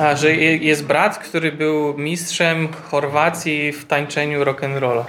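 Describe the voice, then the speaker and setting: The speech comes at a very slow pace with hardly any pauses, over noticeable background noise. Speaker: interpreter. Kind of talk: sermon interpreting. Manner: halting.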